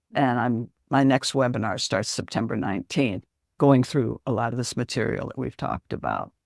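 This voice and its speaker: On a very clean recording with a silent background and a dry, close sound with no echo, a woman speaks at a moderate pace with a very deep, low pitch and vocal fry. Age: 80s+. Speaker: psychologist and relationship coach. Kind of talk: podcast interview.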